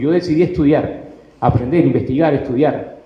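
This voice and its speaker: Audible room echo surrounds a man talking at a very fast pace with ordinary pitch variation. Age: 60s. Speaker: self-published author. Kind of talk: panel talk. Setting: stage with audience.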